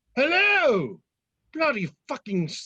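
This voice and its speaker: A put-on character voice, high in pitch, with very wide pitch swings. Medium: comedy sketch. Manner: testy, theatrical.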